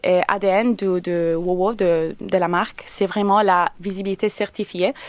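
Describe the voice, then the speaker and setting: The woman's medium-pitched voice stays monotone and flat. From Italy. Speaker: company representative. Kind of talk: radio interview. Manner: halting.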